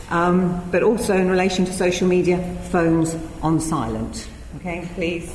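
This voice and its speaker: Over noticeable background noise, a woman talks in a British accent. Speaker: event chair and professor. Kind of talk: lecture introduction and chairing. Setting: lecture hall with audience.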